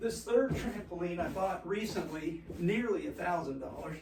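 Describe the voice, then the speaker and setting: A man's high-pitched, lively intoned voice at a fairly slow pace, with audible room echo and noticeable background noise. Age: 70s. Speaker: fitness presenter, former gymnast. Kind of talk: casual tutorial. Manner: halting.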